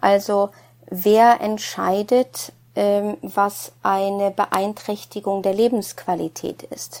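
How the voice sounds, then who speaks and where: In a Norwegian accent, a woman speaks very slowly with a flat, monotone intonation. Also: medium pitch for a woman. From Norway. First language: Norwegian (speaking German). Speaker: psychologist, former professor. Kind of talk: casual chat.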